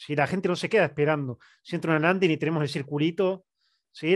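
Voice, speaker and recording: A man with a plain, everyday voice speaks at a fairly high pitch with ordinary variation, in a dry sound with no echo and a quiet background. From Argentina. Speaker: digital marketing professor and consultant; digital marketing professor. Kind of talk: webinar presentation. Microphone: headset.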